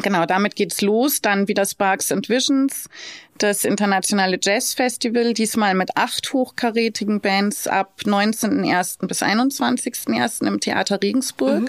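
A woman with an unremarkable speaking voice talks fairly slowly at medium pitch, with ordinary pitch variation and very even loudness. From Lower Bavaria, Germany (Straubing). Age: 40s. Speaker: hotel director and city blogger. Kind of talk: interview. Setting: recording venue.

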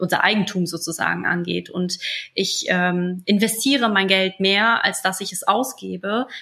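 Medium pitch, fairly even intonation and a normal speaking voice from a woman. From moved to Germany around age five, migrant background. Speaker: business coach and entrepreneur. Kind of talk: interview.

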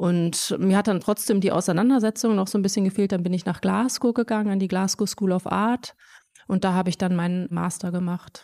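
A woman's dark, mellow voice at medium pitch, with very even loudness and fairly even intonation, on a very clean recording with a silent background. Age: young. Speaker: visual artist. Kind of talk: interview.

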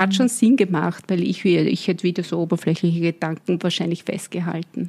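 Pitched fairly low, a woman talks at a moderate pace in an ordinary speaking voice, her intonation fairly even. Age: 50s. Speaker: brand consultant and business coach. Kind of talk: interview.

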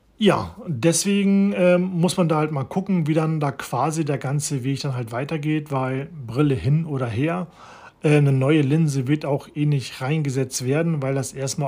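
A man with a dark, mellow, somewhat breathy tone speaks at a fairly slow pace with ordinary pitch variation. The recording is very clean, with a silent background. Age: 40s. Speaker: podcaster. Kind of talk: personal monologue. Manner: halting, many fillers.

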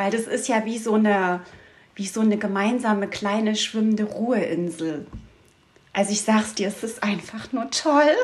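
At a moderate pace, a woman talks in an ordinary speaking voice, fairly high in pitch with ordinary pitch variation. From Saxony, Dresden region. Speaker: dog trainer and outdoor guide. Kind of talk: interview.

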